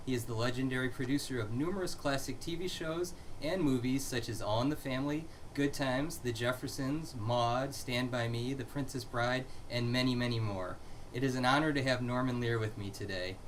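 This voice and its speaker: A man talks at a fairly quick pace with a medium pitch. He has an ordinary speaking voice with ordinary pitch variation. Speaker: interview host. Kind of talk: interview host questions.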